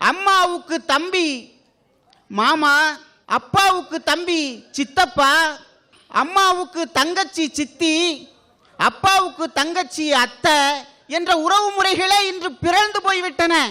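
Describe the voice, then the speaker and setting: A man speaks in a raised, projected voice at an extremely high pitch. His tone is bright and sharp, with ordinary pitch variation. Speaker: radio jockey and debate speaker. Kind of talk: comic stage debate speech. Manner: energetic.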